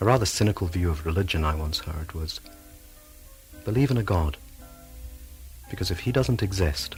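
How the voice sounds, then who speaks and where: A man with a very deep, low voice speaks at a moderate pace, his tone calm and soothing and his intonation lively. He leaves long, frequent pauses, with music playing in the background. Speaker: hypnotherapist. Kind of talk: hypnotherapy tape introduction. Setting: cassette recording. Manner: calm, soothing.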